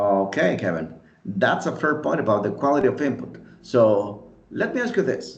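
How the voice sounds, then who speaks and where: Speaking with a Spanish accent, a man uses vocal fry and very wide pitch swings, with audible echo in the room. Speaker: podcast host, English teaching student. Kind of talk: friendly scripted debate.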